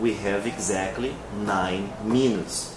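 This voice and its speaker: Amid noticeable background noise and audible room echo, a man speaks at a fairly slow pace in a fairly low pitch. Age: 20s. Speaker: English teacher. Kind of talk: interview. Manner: hesitant, with many fillers.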